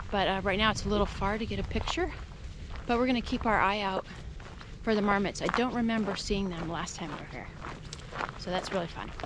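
Delivered at a very fast pace with ordinary pitch variation, the dry, echo-free sound carries noticeable background noise. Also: woman. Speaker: hiker vlogger. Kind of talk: casual vlog chat. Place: open country. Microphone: phone near.

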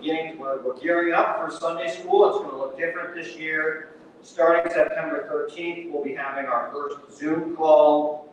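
A man is heard with strong room echo and light background noise. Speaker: minister. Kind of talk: church announcements. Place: church. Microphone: camera far.

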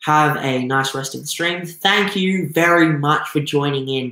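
A man speaks with an Australian accent. The room echo is audible, and the background is quiet. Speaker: aquarium YouTuber; aquarium hobby streamer. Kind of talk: live stream talk. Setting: live stream with chat.

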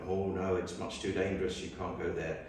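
The speaker keeps a moderate pace. Strong room echo and light background noise are present. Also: man. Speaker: guest, photojournalist. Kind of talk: public talk, storytelling. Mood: relaxed anecdotal. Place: church. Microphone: camera far.

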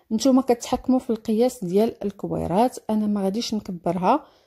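A woman's dark, mellow, somewhat breathy voice in a Moroccan accent, fairly high in pitch with ordinary variation, at a moderate pace, dry and close with no echo in a very clean recording with a silent background. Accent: Moroccan Darija. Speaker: cooking video creator. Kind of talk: cooking tutorial.

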